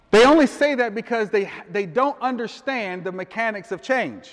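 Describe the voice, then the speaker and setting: The man speaks in a high pitch. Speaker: life coach and motivational speaker. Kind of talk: live motivational speech to a room of men. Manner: conversational, audience-interactive, casual.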